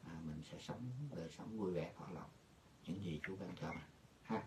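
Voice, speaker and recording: A man's very deep, low voice comes out somewhat breathy, with ordinary pitch variation at a moderate pace. Light background noise is present. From rural Vietnam. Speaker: pastor. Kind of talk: sermon. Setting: video call. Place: office. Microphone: headset.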